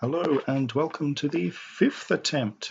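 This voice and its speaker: This man speaks at a medium pitch with a somewhat breathy voice. His intonation is lively. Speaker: game modder. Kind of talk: software tutorial narration. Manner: soporific, slow.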